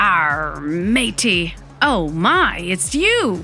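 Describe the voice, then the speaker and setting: A female-sounding put-on character voice sits at a fairly low pitch. Clear music plays in the background. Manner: exaggerated, theatrical.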